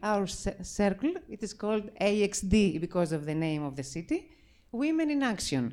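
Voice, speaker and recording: In a very clean recording with a silent background, a woman with a Greek accent speaks at a fairly slow pace in a fairly high pitch. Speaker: circle leader, mountain climber. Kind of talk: event speech. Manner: halting.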